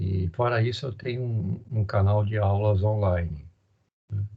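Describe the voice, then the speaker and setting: Slowish and somewhat breathy, a man speaks in a fairly low voice with a dark, mellow tone. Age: 60s. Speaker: university professor. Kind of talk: lecture. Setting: online recorded class.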